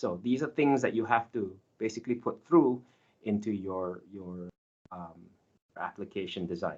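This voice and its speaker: A man at a medium pitch speaks at a moderate pace with ordinary pitch variation. His loudness swings widely, and he takes long, frequent pauses. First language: not Finnish; learning Finnish. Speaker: software engineer giving guest lecture. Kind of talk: lecture. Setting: online session.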